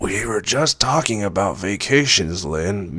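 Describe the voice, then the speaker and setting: A raspy put-on character voice from a man, lively in intonation, over light background noise. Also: fairly low pitch for a man, fairly slow pace. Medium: read story. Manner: kindly, polite.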